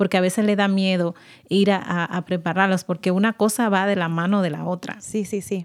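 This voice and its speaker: Speaking in a Dominican accent, a woman keeps a medium pitch and a moderate pace with monotone, flat intonation. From Dominican Republic. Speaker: nonprofit services supervisor. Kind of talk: radio interview.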